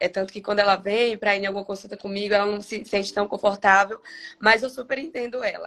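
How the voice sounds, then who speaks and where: A woman at a very fast pace, medium in pitch, with fairly even intonation. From Bahia, Brazil. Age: 30s. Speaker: cancer survivor guest. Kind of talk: testimony.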